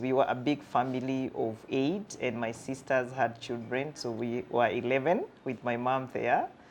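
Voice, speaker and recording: In a Kenyan accent, a woman with a very deep, low pitch talks at a moderate pace with hardly any pauses. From Kenya, Thika slum. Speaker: counseling psychologist. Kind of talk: interview storytelling. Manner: animated.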